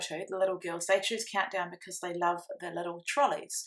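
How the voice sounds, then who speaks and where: A woman with a New Zealand accent, medium pitch, ordinary pitch variation, a fairly quick pace and a bright, sharp tone. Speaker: scrapbooking crafter. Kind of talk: tutorial. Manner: fast.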